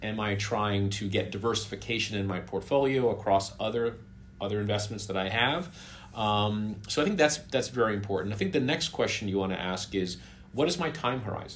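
Somewhat breathy, a man talks at a fairly quick pace with a fairly low pitch and ordinary pitch variation. Light background noise can be heard. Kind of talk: interview answer. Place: home room.

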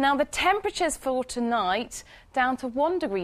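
A woman talks at a moderate pace. Her pitch swings widely.

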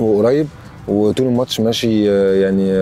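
Faint music plays behind a man with a fairly low pitch. His intonation is fairly even, and the sound is dry with no echo. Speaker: interviewee. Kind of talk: interview answer. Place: open country. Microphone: lapel.

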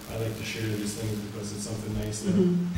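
Very fast speech from a man, with strong room echo and noticeable background noise. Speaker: police official giving report. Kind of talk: formal report at public meeting. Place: meeting room.

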